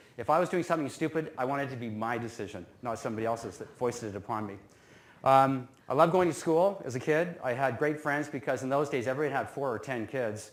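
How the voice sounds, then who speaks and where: Here a man with a western Canadian accent talks at a very fast pace. His pitch is medium, with ordinary variation. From Canada, North Vancouver. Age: 50s. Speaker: business alumnus speaker. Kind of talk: talk to students. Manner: casual, self-deprecating humor.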